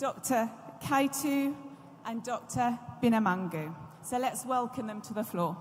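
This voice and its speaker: With a British accent, the speaker goes at a fairly slow pace, with lively intonation, long and frequent pauses, and noticeable background noise. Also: woman, fairly high pitch for a woman. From UK. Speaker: law professor, panel moderator. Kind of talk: conference moderation speech. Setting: stage at conference with audience. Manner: formal.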